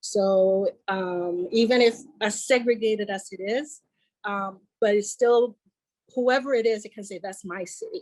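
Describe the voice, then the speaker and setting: A woman speaks with a Puerto Rican accent at a medium pitch. Her pace is fairly slow and her intonation fairly even. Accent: Puerto Rican Spanish-tinged English. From Puerto Rico. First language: Spanish. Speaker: podcast guest. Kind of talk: casual chat. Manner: halting.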